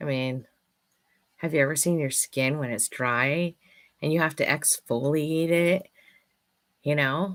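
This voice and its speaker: A woman speaks at a fairly slow pace in a very deep, low voice. Her pitch varies in an ordinary way, with long, frequent pauses. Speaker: affirmation card reader / vlogger host. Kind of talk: casual monologue with affirmation card readings. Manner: loud.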